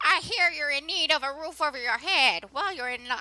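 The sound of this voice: A put-on character voice does the talking. It moves at a moderate pace. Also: female-sounding voice, high pitch for a woman.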